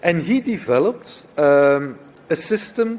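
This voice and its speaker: With lively intonation, a man talks in a non-native accent. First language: not English. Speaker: nursing professor. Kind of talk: conference talk.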